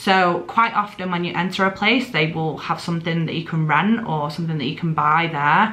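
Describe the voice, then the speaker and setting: A woman with a Mancunian accent, fairly low in pitch, at a fairly quick pace with hardly any pauses and ordinary pitch variation, amid audible room echo and noticeable background noise. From northern England, Greater Manchester. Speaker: travel vlogger. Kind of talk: casual chat.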